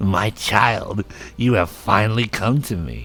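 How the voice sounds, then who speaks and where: Over light background noise, a man speaks fairly slowly in a put-on character voice pitched fairly low. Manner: creepy, sinister.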